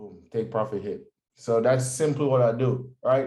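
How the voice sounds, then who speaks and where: Speaking at a fairly slow pace, a man with a slight Jamaican accent has a dark, mellow tone and ordinary pitch variation. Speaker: forex trader. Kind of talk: tutorial. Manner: casual, energetic.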